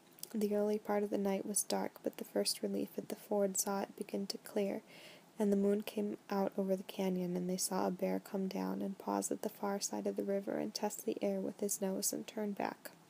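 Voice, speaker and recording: A soft-spoken woman at a moderate pace, calm and gentle in tone. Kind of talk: audiobook-style novel reading for relaxation. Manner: soft-spoken, gentle; calm, relaxing.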